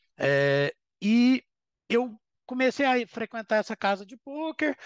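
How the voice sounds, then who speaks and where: The speaker is a man. His voice sits high in pitch. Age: 30s. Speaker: professional poker player. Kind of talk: casual chat.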